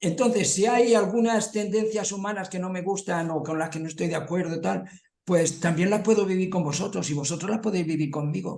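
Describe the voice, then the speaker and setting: Fairly quick speech comes from a man with a high pitch and ordinary pitch variation. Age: 70s. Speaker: study group participant. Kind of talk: group discussion.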